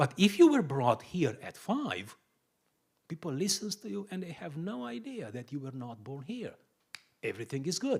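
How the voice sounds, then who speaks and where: A man with a fairly high pitch talks at a moderate pace, with very wide pitch swings and big swings in loudness. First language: Romanian. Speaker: pastor. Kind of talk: sermon-style teaching talk.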